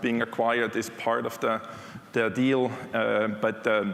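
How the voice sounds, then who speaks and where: A man speaks with a non-native accent over noticeable background noise. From Switzerland. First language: not English (English is third language). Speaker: technology executive. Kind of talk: conference keynote. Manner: conversational, with fillers.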